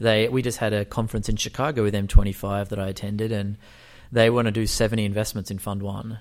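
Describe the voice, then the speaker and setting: A man's fairly low voice, very fast and monotone, on a very clean recording with a silent background. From Australia. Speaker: startup founder and venture capitalist. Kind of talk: interview.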